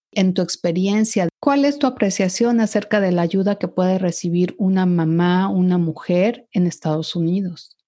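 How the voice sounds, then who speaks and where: A woman with a dark, mellow tone and medium pitch speaks at a moderate pace with hardly any pauses, very even loudness, and ordinary pitch variation. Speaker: podcast host. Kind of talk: interview.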